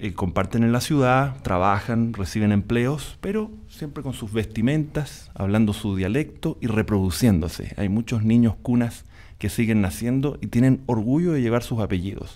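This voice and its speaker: A man talks at a moderate pace with a dark, mellow tone. He hardly pauses at all. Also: medium pitch for a man, ordinary pitch variation. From Panama. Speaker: musician and journalist. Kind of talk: panel discussion.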